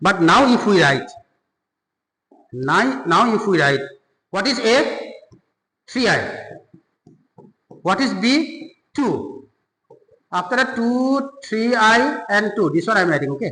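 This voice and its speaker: Using a raised, projected voice with a bright, sharp tone, a man speaks at a high pitch and a very slow pace, with very wide pitch swings and long, frequent pauses. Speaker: maths teacher. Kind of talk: tutorial.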